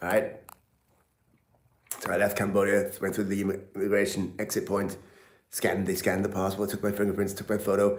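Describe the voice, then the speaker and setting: A man with a British accent talks at a fairly quick pace and a fairly low pitch, leaving long, frequent pauses, with audible room echo around him. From England. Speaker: travel and health vlogger. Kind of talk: live stream chat. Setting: live stream. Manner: animated.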